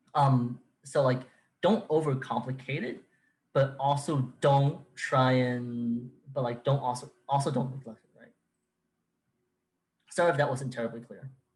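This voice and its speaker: A man at medium pitch, somewhat breathy, with fairly even intonation, a fairly slow pace and long, frequent pauses. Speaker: workshop presenter. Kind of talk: technical workshop Q&A. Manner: halting, many fillers and restarts.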